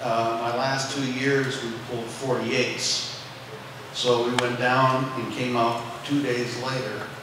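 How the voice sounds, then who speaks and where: Very slow, flat monotone speech with noticeable background noise and strong room echo. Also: man. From North Dakota. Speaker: retired missile launch officer. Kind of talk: panel discussion. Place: stage.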